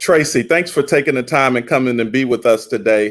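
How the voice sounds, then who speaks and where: Pitched at a medium level, a man talks at a fairly quick pace. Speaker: event host. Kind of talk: live event hosting. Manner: loud.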